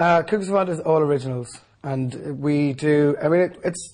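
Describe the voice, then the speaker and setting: With an Irish accent, a man speaks at a fairly quick pace in a fairly high, somewhat breathy voice with ordinary pitch variation. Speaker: singer. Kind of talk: interview.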